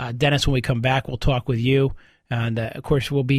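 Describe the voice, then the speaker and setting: Speaking at a very fast pace, a man uses a fairly high, somewhat breathy voice. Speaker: lawyer, legal radio show host. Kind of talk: radio call-in show.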